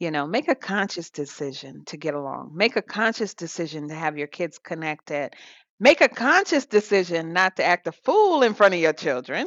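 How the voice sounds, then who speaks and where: In an ordinary speaking voice, a woman with an American accent talks at a moderate pace, fairly low in pitch with lively intonation. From US South. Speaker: podcast co-host. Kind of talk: casual chat.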